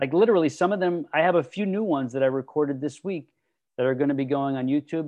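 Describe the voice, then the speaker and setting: Loud and fairly high-pitched, a man speaks in an enthusiastic, animated tone with lively intonation. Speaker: fitness podcast host. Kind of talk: casual interview chat with his niece. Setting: video call. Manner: enthusiastic, animated, trying to tone it down.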